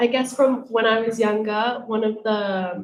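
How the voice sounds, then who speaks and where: A woman speaks with a British accent at a medium pitch. Her intonation stays fairly even. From England, Colombian background. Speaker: panellist, single mother. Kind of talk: panel discussion. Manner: hesitant, many fillers.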